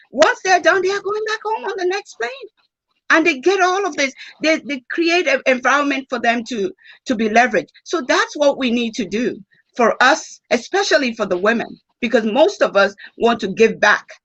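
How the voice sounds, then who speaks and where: Very wide pitch swings in a Nigerian accent. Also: woman, high pitch for a woman, moderate pace. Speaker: former bank executive, conference speaker. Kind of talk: panel discussion answer. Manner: animated.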